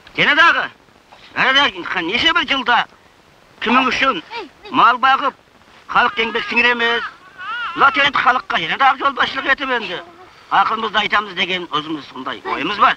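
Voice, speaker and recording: Over noticeable background noise, a man uses a raised, projected voice at an extremely high pitch, with very wide pitch swings, a fairly slow pace and long, frequent pauses. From Xinjiang, China. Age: 60s. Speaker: herder and commune party cadre. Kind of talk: family address to camera.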